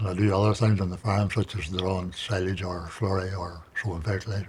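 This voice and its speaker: A man with a Northern Irish accent speaks at a fairly quick pace. His voice is very deep, low and somewhat breathy, with monotone, flat intonation. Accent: Northern Irish (Tyrone). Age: 70s. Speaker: farmer and cancer survivor. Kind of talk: interview testimony. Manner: halting.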